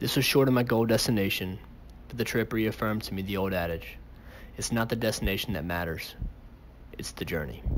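A man with an ordinary speaking voice talks at a fairly quick pace and fairly low pitch. Pitch variation is ordinary, and there is light background noise. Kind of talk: voice-over narration.

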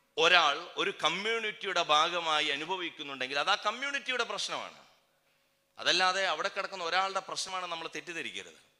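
The tone is bright and sharp, and the pitch moves in an ordinary way. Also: man, high pitch for a man. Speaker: activist speaker. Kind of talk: political speech. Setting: public rally stage.

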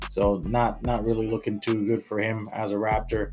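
A man's fairly low voice at a moderate pace, with clear music in the background. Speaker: sports show host. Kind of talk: sports commentary. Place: home room. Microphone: studio mic.

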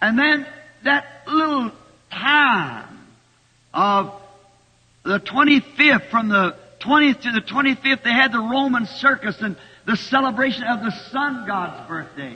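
Speaking in an extremely high pitch with an American accent, a man uses a raised, projected voice and lively intonation at a fairly slow pace broken by long, frequent pauses. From United States. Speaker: preacher. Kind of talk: sermon preached to a congregation. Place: church.

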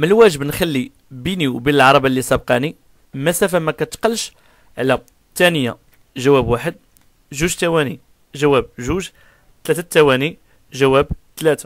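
Pitched fairly high, a man talks at a moderate pace, pausing often and at length. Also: ordinary pitch variation. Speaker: driving instructor. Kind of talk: tutorial.

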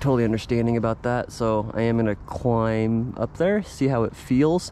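At a moderate pace and very even loudness, a man talks over light background noise in a dry sound with no echo. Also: ordinary pitch variation. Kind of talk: casual vlog chat. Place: garden. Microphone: phone near.

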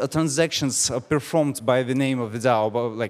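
A man is speaking. His pitch moves in an ordinary way. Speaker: conference speaker. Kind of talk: conference talk. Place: stage. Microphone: handheld.

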